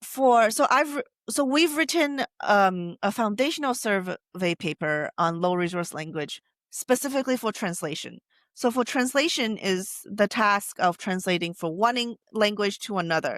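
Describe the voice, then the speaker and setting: Speaking at a moderate pace with a Taiwanese accent, the voice makes very wide pitch swings in a very clean recording with a silent background and a dry, close sound with no echo. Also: woman, medium pitch for a woman. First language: Taiwanese Hokkien. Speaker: AI researcher. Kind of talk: interview. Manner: halting, many self-corrections.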